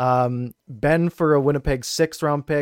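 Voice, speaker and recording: The recording is dry and close with no echo, carrying a man's unremarkable speaking voice, fairly high in pitch, with a Canadian accent and fairly even intonation. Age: 20s. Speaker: hockey YouTuber and podcast co-host. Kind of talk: casual sports chat.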